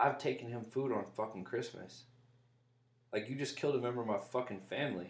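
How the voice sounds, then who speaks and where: A man's plain, everyday voice with an American accent, medium pitch, ordinary pitch variation and a fairly quick pace. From US South. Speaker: podcast host. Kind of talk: casual chat.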